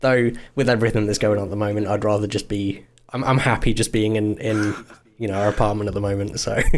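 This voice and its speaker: A man talks at a very fast pace. His pitch is fairly low and his intonation monotone and flat. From East Midlands, England. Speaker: music producer. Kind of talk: casual chat.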